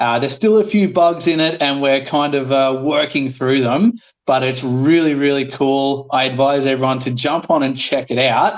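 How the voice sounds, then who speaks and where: Speaking with an Australian accent and an enthusiastic tone, a man talks at a moderate pace in a fairly high voice, with ordinary pitch variation and hardly any pauses. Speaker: guest from a gaming project. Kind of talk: live audio panel chat. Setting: Twitter Spaces audio room.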